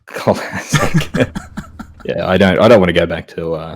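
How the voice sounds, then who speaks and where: A man with an Australian accent, very deep and low in pitch, at a moderate pace. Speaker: podcast host. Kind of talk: casual chat. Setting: live-streamed podcast.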